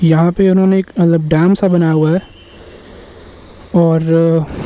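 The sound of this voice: This man speaks at a fairly slow pace, his fairly high pitch showing little movement.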